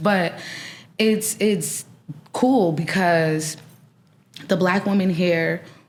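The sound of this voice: Speaking very slowly in an American accent, a woman uses a fairly low pitch with ordinary pitch variation.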